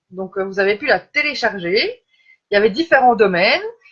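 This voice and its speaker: Here is a woman with a Belgian accent and a medium pitch. She speaks at a fairly quick pace. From Belgium. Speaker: life coach. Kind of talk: live stream talk. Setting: live video stream. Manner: hesitant, many fillers.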